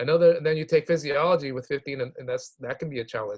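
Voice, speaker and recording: This man's voice is somewhat breathy and fairly high in pitch. His pitch varies in an ordinary way. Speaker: health professions advisor. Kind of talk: online workshop presentation. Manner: fast.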